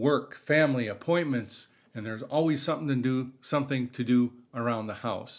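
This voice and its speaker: This man speaks at a moderate pace with ordinary pitch variation and a medium pitch, in an ordinary speaking voice, on a very clean recording with a silent background. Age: 50s. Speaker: guitar hobbyist vlogger. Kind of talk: casual talk to camera.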